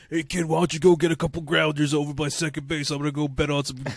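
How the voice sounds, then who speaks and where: Using a put-on character voice, a man talks very fast at a fairly high pitch with monotone, flat intonation. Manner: gruff, weird.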